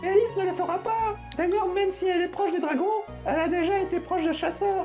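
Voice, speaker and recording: A woman's put-on character voice at a very fast pace, with clear music in the background. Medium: read story. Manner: casual, inquisitive.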